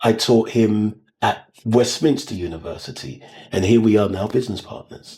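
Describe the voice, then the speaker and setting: Somewhat breathy and dark, mellow in tone, a man speaks at a fairly low pitch and moderate pace, with ordinary pitch variation and big swings in loudness. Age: 60s. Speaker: music manager and vocal coach. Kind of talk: casual interview chat.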